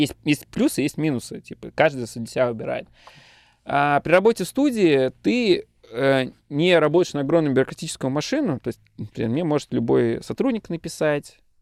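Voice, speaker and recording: At a moderate pace, a man speaks with lively intonation in a dry, close sound with no echo. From Russia, Tatarstan (Bugulma). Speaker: managing director of a web studio. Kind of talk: casual interview. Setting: studio. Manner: animated.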